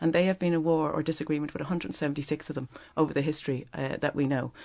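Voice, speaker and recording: Against a quiet background, a woman with a Dublin accent speaks very fast at a very deep, low pitch with ordinary pitch variation. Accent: Dublin Irish. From Ireland, Dublin. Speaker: business founder and exporters' association president. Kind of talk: radio panel discussion. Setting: radio studio.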